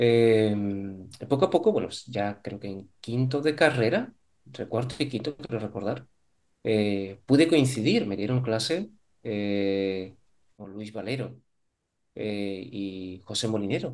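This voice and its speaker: Using lively intonation at a medium pitch, a man speaks at a very slow pace with long, frequent pauses and big swings in loudness. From Spain, Córdoba (Andalusia). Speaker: psychologist, psychotherapist. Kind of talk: interview conversation.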